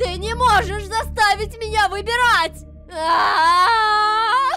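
Faint music plays as a woman speaks slowly in a put-on character voice. Her pitch is extremely high and her tone is bright and sharp. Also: ordinary pitch variation.

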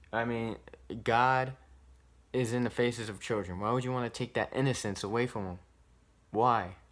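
A man speaks at a moderate pace with fairly even intonation. His long pauses come often. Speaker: YouTuber posing as decoy to expose predators; vlogger. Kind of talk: casual vlog commentary. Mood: indignant, disgusted. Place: home room. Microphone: phone near.

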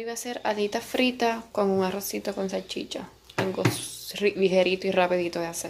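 A woman with a Puerto Rican accent at a moderate pace, over light background noise. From Puerto Rico. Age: 20s. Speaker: physical therapy assistant and massage therapist. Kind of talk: casual vlog talk to camera. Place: home room. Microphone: phone near.

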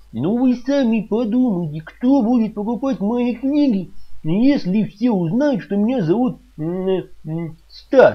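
Putting on a character voice, a man speaks at a fairly slow pace with a high pitch, a slightly husky edge, and lively intonation.

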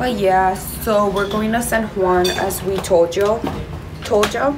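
A woman's voice at a very slow pace, with noticeable background noise. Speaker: vlogger. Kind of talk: casual vlog chat. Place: home room. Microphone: phone near.

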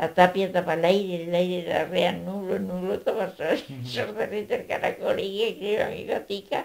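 A woman with an Andalusian accent talks at a moderate pace with hardly any pauses. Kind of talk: oral folk tale storytelling. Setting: home recording.

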